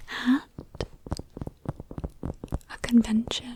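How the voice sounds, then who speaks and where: Whispering in a gentle tone against noticeable background noise. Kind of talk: ASMR comfort video. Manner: soft-spoken, gentle.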